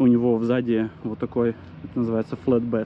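At a moderate pace, a man talks over light background noise in a dry recording with no echo. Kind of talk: casual vlog chat. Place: street. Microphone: phone near.

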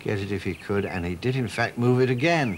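A man with a normal speaking voice talks at a fairly quick pace with lively intonation. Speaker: TV presenter. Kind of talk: TV documentary narration.

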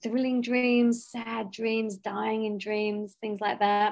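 Over a quiet background, a woman with an Australian accent talks at a fairly slow pace and a fairly high pitch. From Western Australia. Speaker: podcast co-host and professional cuddler; podcast co-host. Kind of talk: casual panel discussion. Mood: relaxed, friendly. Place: home room. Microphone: video call.

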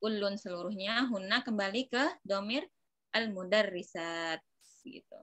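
A woman's fairly slow speech with ordinary pitch variation, dry with no echo, over a quiet background. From Indonesia. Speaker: Arabic teacher. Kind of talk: online class lesson. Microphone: phone near.

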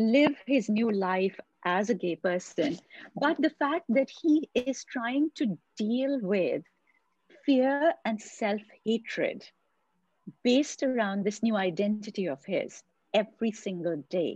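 Recorded dry with no echo, a somewhat breathy woman speaks at a very slow pace with long, frequent pauses. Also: lively intonation. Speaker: podcast host. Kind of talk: interview question. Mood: earnest, emotional. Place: home room. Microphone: video call.

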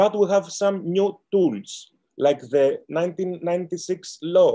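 In a Greek accent, a man speaks with a dark, mellow tone against a quiet background. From Greece. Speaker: lawyer. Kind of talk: panel talk. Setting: video call. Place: home room. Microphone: webcam.

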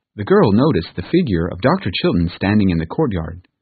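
A passage is read aloud in a natural voice.

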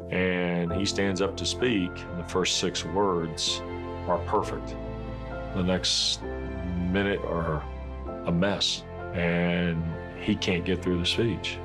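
A man's very deep, low voice at a very slow pace, ordinary pitch variation, and clear music in the background. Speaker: sports broadcaster, son of a patient with FTD. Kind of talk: awareness-campaign interview testimony, talking about his father. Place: office.

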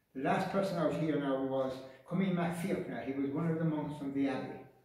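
A man speaks with a fairly high pitch and ordinary pitch variation. The room echo is strong. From Ireland, County Mayo; Ireland. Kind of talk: guided tour interview. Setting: inside an old island church. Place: church. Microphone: camera far.

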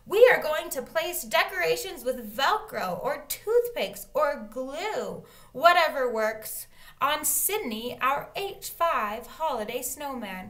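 A woman puts on a squeaky, high-pitched character voice and talks at a fairly slow pace. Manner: annoying, chirpy.

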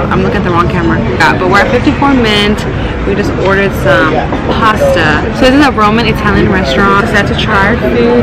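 Through loud background noise, a woman speaks at a fairly quick pace. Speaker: vlogger. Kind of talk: casual vlog chat. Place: cafe. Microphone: phone near.

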